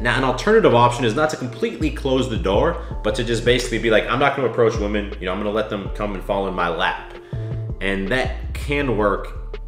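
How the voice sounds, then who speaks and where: A man at a very fast pace, with clear music in the background and audible room echo. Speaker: dating coach youtuber. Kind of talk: commentary. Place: home room.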